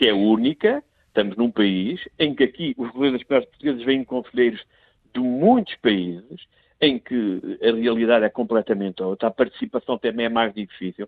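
A man talks at a moderate pace and medium pitch. He has an unremarkable speaking voice with ordinary pitch variation. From Portugal, son of emigrants in France. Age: 50s. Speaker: member of parliament. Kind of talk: political commentary. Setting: remote, abroad on official trip. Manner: repeats words when starting sentences.

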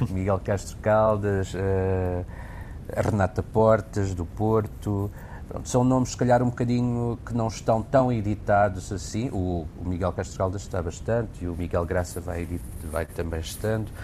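Noticeable background noise sits behind a man with a fairly low pitch. He talks at a fairly slow pace with ordinary pitch variation. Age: 50s. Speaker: actor and theatre director. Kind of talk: casual interview chat.

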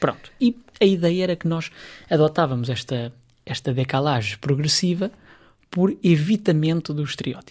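Speech at a moderate pace with a European Portuguese accent, broken by long, frequent pauses. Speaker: psychologist. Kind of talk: radio interview.

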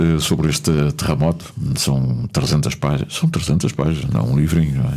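A man's very deep, low pitch at a moderate pace, very even loudness, noticeable background noise. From Azores (São Miguel / Pico). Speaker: radio host. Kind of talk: casual interview. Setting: radio studio.

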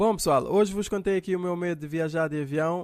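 A man with a high-pitched voice speaks at a moderate pace in a Cape Verdean accent, with ordinary pitch variation. The recording is very clean, with a silent background. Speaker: comedian. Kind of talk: comedic monologue.

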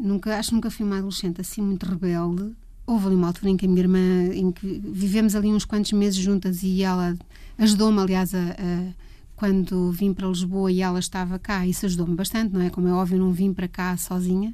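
Speaking at a fairly quick pace, a woman uses fairly even intonation in a medium-pitched voice with a dark, mellow tone. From Portugal, Leiria. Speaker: music photographer. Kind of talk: interview.

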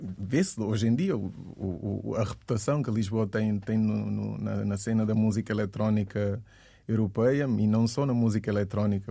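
The man's voice sits fairly low in pitch, with a dark, mellow tone and fairly even intonation. He keeps a moderate pace over a quiet background. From Guinea-Bissau, moved to Portugal at 12. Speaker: DJ and music producer. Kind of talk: radio interview.

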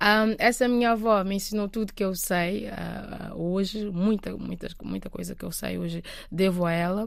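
Hardly any pauses break this woman's speech. She keeps a moderate pace. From Cape Verde. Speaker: singer-songwriter. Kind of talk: interview. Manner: halting.

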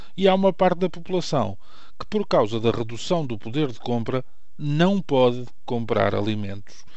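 A man's lively intonation carries through audible echo in the room. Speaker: radio commentator. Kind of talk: opinion commentary. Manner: formal.

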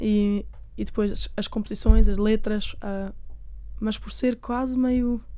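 Over audible room echo, a woman speaks in a medium pitch with a dark, mellow tone and monotone, flat intonation. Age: 20s. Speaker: singer-songwriter. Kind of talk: interview.

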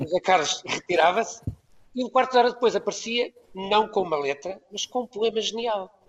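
High-pitched male speech, its pitch varying in an ordinary way. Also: moderate pace. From Portugal, Ermesinde near Porto. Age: 70s. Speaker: composer. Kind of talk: panel discussion, remote guest. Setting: Skype call.

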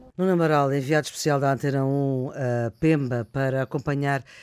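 At a moderate pace, a man speaks in a normal speaking voice with a fairly high pitch and fairly even intonation. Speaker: radio host. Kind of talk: radio panel moderation. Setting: remote, each in own place.

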